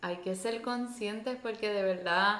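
Fairly even intonation from a woman at a medium pitch. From Puerto Rico. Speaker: podcast co-host. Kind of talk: casual chat.

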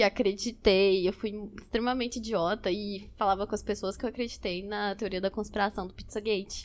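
At a moderate pace, a woman speaks in an ordinary speaking voice, fairly high in pitch, with fairly even intonation. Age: 20s. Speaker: photographer and psychology student. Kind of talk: casual chat.

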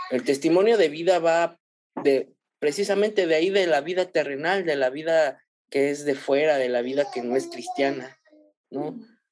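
A man speaks at a moderate pace with ordinary pitch variation and a fairly high pitch, in a plain, everyday voice. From Mexico City. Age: 30s. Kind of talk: casual chat.

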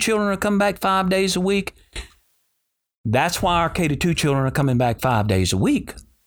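Speaking with a Louisiana accent at a fairly quick pace, the voice sweeps through very wide pitch swings. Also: man, very even loudness. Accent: Southern US (Louisiana). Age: 60s. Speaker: school superintendent. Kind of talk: interview.

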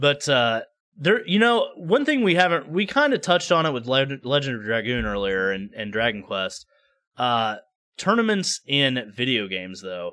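On a very clean recording with a silent background, a man with an American accent speaks at a moderate pace and medium pitch in a bright, sharp tone with very wide pitch swings. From United States. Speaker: gaming podcast co-host. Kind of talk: casual chat.

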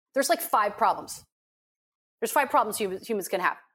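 A normal speaking voice with lively intonation, on a very clean recording with a silent background. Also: woman. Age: 50s. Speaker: life coach. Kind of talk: interview.

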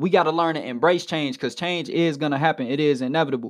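A man speaks in an animated tone with ordinary pitch variation. The background is quiet. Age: 20s. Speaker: radio host and preacher. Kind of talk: sermon. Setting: home studio.

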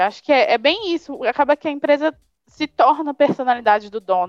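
Music plays behind a woman whose intonation is lively, and the sound is dry and close with no echo. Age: 20s. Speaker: graphic designer. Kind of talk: casual interview.

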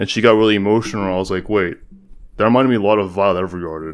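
Very fast and with fairly even intonation, a man with a very deep, low voice talks on a very clean recording with a silent background. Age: 20s. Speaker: podcast co-host, college student. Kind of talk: casual chat.

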